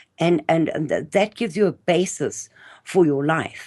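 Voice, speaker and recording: Her pitch is very deep and low for a woman. She speaks with lively intonation against a quiet background. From South Africa. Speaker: interview guest, speaker on South African history. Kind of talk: interview conversation.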